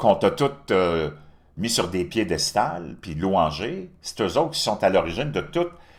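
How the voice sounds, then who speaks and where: A man with a Quebec accent speaks in an animated tone, with very wide pitch swings and vocal fry. His pace is fairly slow, and the recording is very clean with a silent background. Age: 60s. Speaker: political commentator. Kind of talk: opinion monologue.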